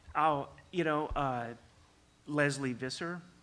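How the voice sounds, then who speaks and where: A soft-spoken man's bright, sharp voice at a very slow pace. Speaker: sports television executive. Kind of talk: panel discussion. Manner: halting.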